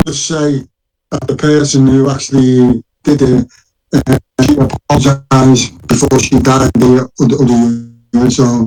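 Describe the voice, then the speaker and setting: A man with a Liverpool accent speaks at a fairly slow pace and medium pitch, his intonation monotone and flat. Music sits in the background of a dry, close sound with no echo. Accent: Scouse. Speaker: former prisoner claiming innocence. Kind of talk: interview. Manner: halting.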